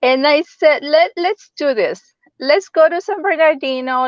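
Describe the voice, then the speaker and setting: A woman with a Spanish accent speaks with lively intonation. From El Salvador (San Salvador). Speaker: real estate agent. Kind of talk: interview.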